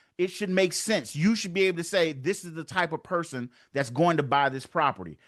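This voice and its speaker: A high-pitched man at a fairly quick pace, ordinary pitch variation, quiet background. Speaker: real estate investor and coach. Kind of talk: webinar presentation. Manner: fast.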